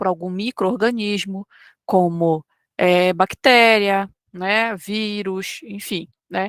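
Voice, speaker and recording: Speaking at a very slow pace, a woman with a medium pitch and ordinary pitch variation sounds dry and close, with no echo. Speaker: online course teacher. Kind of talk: lecture. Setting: live online class.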